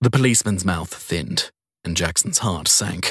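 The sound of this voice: A man's low-pitched voice, fairly slow and fairly bright with a slightly husky edge, ordinary pitch variation, and a dry, close sound with no echo on a very clean recording against a silent background.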